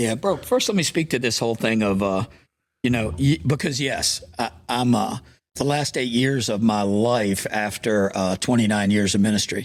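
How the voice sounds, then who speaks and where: The recording is very clean, with a silent background. It features an ordinary speaking voice with ordinary pitch variation. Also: man. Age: 60s. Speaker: pastor. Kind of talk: interview conversation.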